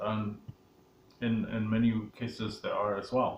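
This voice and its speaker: Amid noticeable background noise and audible room echo, a man with a medium pitch speaks at a very slow pace. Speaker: sales coach. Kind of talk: tutorial. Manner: hesitant, with filler words.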